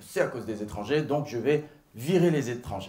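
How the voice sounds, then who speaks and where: Very wide pitch swings run through this man's speech. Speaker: stand-up comedian. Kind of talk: stand-up comedy routine. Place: stage. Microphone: handheld.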